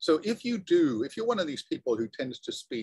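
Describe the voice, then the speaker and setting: Speaking with a British accent, a man keeps a fairly quick pace. The sound is dry with no echo, over a quiet background. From Britain. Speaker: college lecturer. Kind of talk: lecture. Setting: classroom. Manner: halting. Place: home room. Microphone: video call.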